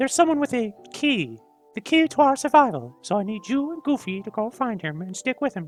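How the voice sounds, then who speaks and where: A man puts on a character voice, pitched extremely high. He speaks at a fairly quick pace over faint background music. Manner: terrible, comic impression.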